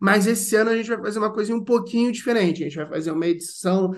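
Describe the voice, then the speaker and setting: A man talking at a very fast pace. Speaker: podcast host. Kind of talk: casual interview chat.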